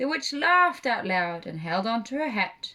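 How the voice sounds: Natural-sounding read-aloud speech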